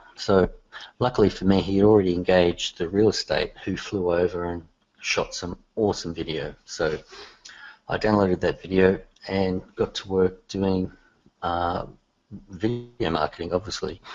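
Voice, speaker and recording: A man with an Australian accent speaks at a moderate pace. His pitch is very deep and low, and his intonation fairly even. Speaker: software developer. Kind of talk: casual chat. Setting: call.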